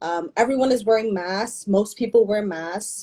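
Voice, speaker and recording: Speaking at a fairly quick pace with a New York accent, a woman has a medium pitch and a dark, mellow tone. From New York, the Bronx. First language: Spanish. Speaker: brand founder. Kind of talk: interview. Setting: video call.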